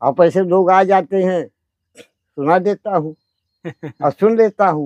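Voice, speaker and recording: Here a man speaks at a high pitch with ordinary pitch variation. The sound is dry and close, with no echo. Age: 80s+. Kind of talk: satsang conversation, interview answers.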